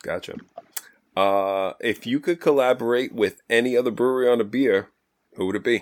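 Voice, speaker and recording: With a moderate pace, medium pitch and ordinary pitch variation, the man has an unremarkable speaking voice. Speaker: podcast host. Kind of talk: casual interview. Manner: humorous, joking.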